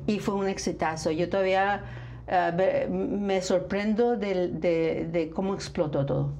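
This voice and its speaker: At a very slow pace, a woman with a medium pitch speaks amid noticeable background noise and audible room echo. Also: fairly even intonation. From northern Mexico, Nuevo León. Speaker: flamenco dancer and festival founder. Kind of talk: interview.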